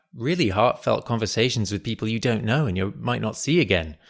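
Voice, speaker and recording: With an English accent and vocal fry, a man talks at a fairly quick pace with very wide pitch swings. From London, England. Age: 30s. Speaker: podcaster and aspiring screenwriter. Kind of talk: interview.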